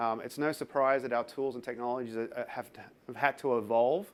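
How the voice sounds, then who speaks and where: At a fairly quick pace, a man with a medium-pitched voice speaks with an Australian accent. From Australia, Sydney. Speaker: tech company developer advocate. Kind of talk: conference talk. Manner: hesitant, many fillers.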